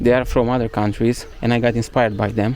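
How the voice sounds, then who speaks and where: A man's monotone, flat intonation carries along at a moderate pace. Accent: Romanian. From Romania. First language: Romanian. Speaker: travel vlogger. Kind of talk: casual walking vlog monologue. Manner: halting, many fillers.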